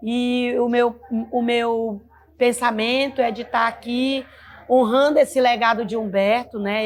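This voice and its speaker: A woman speaks at a fairly slow pace with a fairly high pitch. She has a normal speaking voice and fairly even intonation. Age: 60s. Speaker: leader of a folk music group. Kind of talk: interview testimony.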